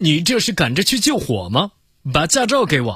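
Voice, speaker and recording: Doing a gruff, put-on character voice, a man speaks at a moderate pace with a high pitch and very wide pitch swings, captured in a very clean recording with a silent background. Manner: brusque, scolding.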